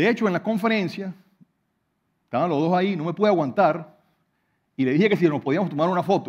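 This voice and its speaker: A man's high voice at a very fast pace with ordinary pitch variation and long, frequent pauses, over a quiet background. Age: 40s. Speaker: hydrologist and professor; professor. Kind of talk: prepared talk to an audience. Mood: personal, reflective, some humour. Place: stage. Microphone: headset.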